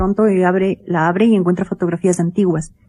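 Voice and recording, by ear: A woman's dark, mellow voice moves at a moderate pace.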